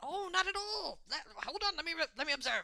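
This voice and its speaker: Put-on character voice at an extremely high pitch and a fairly quick pace. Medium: actual play. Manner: chatty, enthusiastic, lecturing.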